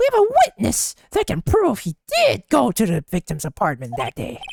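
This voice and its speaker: A man's put-on character voice at a moderate pace, dry and close with no echo. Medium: solo performance. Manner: smug, self-assured.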